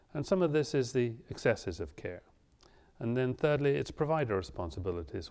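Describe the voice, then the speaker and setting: In a very clean recording with a silent background, a man with a British accent speaks using lively intonation. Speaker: physician lecturer. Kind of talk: lecture.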